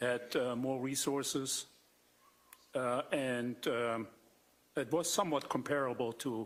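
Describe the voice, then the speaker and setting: The speaker, in a German accent, goes at a fairly slow pace with long, frequent pauses. Loudness is very even and intonation fairly even. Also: man. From East Germany. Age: 60s. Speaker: doctor testifying at trial. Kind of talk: witness testimony. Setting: courtroom. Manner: halting.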